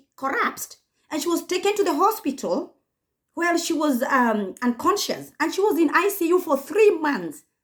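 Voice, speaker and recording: With a Kenyan accent, this speaker uses very wide pitch swings and an animated tone at a moderate pace. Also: woman. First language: Kikuyu. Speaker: YouTuber. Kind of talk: commentary vlog.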